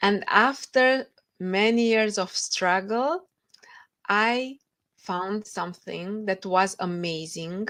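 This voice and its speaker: A woman with a Romanian accent speaks at a very slow pace, medium in pitch with ordinary pitch variation. The recording is very clean, with a silent background. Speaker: author. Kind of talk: interview.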